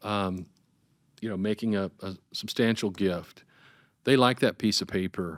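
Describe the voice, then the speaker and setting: A man speaks at a fairly slow pace in a fairly low pitch, with fairly even intonation and long, frequent pauses, recorded very cleanly against a silent background with a dry, close sound and no echo. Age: 60s. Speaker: nonprofit fundraising consultant. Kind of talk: casual interview. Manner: halting, many fillers.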